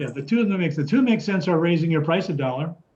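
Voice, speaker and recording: A man speaks at a very fast pace. His pitch is fairly high with ordinary variation. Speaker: construction consultant. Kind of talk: lecture. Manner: halting, many fillers.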